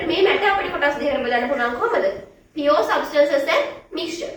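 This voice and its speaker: Amid noticeable background noise and audible room echo, a woman with a high pitch speaks with lively intonation. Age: 20s. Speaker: science teacher. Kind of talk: lecture.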